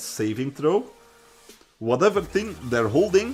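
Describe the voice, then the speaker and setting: Music plays in the background as a man speaks with a Dutch accent. His pace is fairly slow. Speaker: streamer. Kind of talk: casual chat. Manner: halting.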